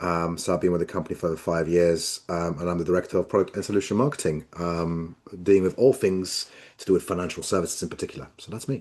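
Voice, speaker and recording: In a British accent, a man with a very deep, low pitch talks at a very fast pace, with ordinary pitch variation and big swings in loudness. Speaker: product marketing director. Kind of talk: webinar discussion.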